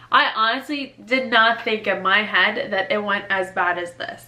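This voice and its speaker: A woman's animated voice, fairly high in pitch, over noticeable background noise. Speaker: newly graduated doctor, medical video creator. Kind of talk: casual advice vlog. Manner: fast; casual, animated.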